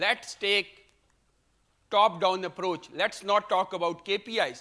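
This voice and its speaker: On a very clean recording with a silent background, a man uses a raised, projected voice with a bright, sharp tone, ordinary pitch variation and a very slow pace. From Pakistan. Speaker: professor giving a keynote talk. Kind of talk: conference keynote lecture. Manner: loud.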